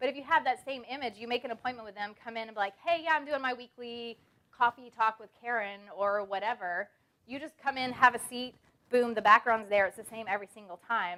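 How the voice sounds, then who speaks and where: This woman speaks very fast in a fairly high voice with a bright, sharp tone. Her pitch varies in an ordinary way. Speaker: branding speaker. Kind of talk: seminar talk. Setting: stage with audience.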